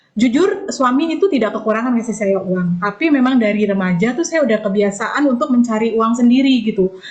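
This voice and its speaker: A woman's fairly high voice at a very fast pace with ordinary pitch variation, music in the background. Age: 40s. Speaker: network marketing distributor. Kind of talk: online business presentation. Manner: casual conversational with fillers.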